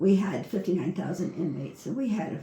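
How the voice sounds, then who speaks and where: A woman talks at a very fast pace. The room echo is audible. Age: 70s. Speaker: retired prison warden applying for a guide dog. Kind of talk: recorded application interview answers. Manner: halting.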